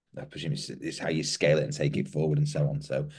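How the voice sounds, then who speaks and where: A man speaks with very wide pitch swings. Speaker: podcast co-host. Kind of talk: interview.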